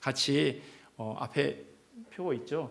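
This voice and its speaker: Audible room echo surrounds a man speaking at a moderate pace and a medium pitch. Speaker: pastor. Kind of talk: church announcements. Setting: church. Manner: hesitant fillers.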